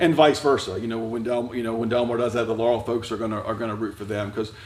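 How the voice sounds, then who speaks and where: Over noticeable background noise and audible room echo, a man talks at a very fast pace with fairly even intonation. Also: medium pitch for a man. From Delaware, US. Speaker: high school principal and preacher. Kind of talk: casual interview. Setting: church.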